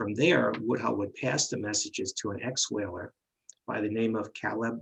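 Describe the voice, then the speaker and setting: A man speaks in a New York accent with vocal fry. His pitch varies in an ordinary way. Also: medium pitch for a man, moderate pace. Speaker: medium and paranormal investigator. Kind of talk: history presentation. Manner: halting, many fillers.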